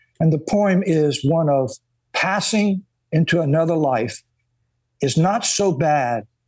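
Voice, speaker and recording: This man with a Louisiana accent is heard on a very clean recording with a silent background. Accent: Southern US, Louisiana. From US, South Louisiana. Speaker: historian and author. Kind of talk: interview.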